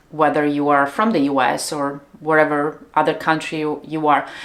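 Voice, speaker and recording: The woman's pitch is very deep and low. She keeps a moderate pace. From Italy, Treviso. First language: Italian. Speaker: business coach. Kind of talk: casual vlog monologue. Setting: home studio. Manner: pauses between words and sentences.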